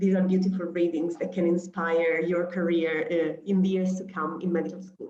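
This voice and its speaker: With an Italian accent, a woman speaks at a moderate pace in a fairly low pitch, her intonation monotone and flat, with hardly any pauses. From Italy. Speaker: humanitarian doctor. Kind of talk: lecture. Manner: hesitant, many fillers.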